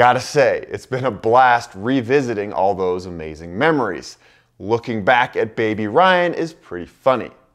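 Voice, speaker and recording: Lively intonation at a moderate pace, with big swings in loudness against a quiet background. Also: man. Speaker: travel vlogger. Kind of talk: casual vlog intro to camera. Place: office. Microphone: lapel.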